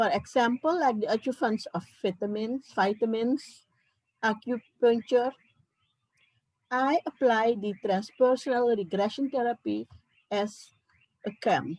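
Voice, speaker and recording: Speech comes at a fairly slow pace with ordinary pitch variation and long, frequent pauses. The sound is dry and close, with no echo. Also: woman, fairly high pitch for a woman. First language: not English. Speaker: psychiatrist. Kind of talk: conference talk.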